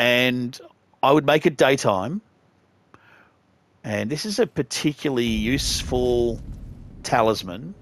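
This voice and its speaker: A man with an Australian accent and a medium pitch speaks fairly slowly with lively intonation and long, frequent pauses, in a dry, close sound with no echo. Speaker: gaming youtuber. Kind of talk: gameplay walkthrough commentary. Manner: casual, conversational.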